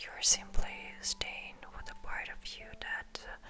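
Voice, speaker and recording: A woman whispering in a gentle tone, with noticeable background noise. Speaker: ASMR creator. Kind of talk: ASMR personal attention comfort talk, sleep aid. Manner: soft, gentle, slow, reassuring.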